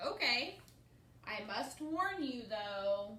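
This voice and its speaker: A woman does a put-on character voice at a fairly high pitch. Background noise is clearly audible. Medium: read story. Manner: confident, boastful.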